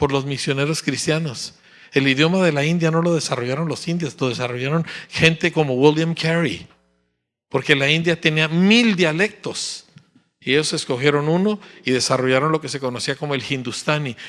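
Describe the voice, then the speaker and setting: A man speaks in an unremarkable speaking voice. The background is quiet. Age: 60s. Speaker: pastor. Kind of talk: sermon.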